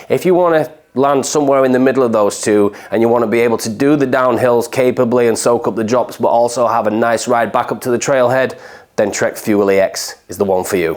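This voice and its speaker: With ordinary pitch variation and a medium pitch, a man talks at a fairly quick pace as noticeable background noise continues. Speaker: bike mechanic. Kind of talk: product overview.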